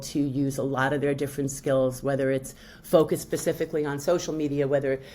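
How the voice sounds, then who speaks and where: In a New York accent, a woman talks at a fairly quick pace. Her very deep, low pitch carries a dark, mellow tone. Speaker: public relations professional. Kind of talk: podcast interview. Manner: halting, many fillers.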